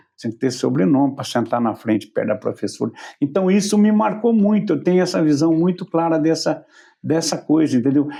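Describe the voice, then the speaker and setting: Against a quiet background, a man with a dark, mellow tone and fairly high pitch speaks at a fairly quick pace with lively intonation. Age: 70s. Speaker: talk show host. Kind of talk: casual interview chat.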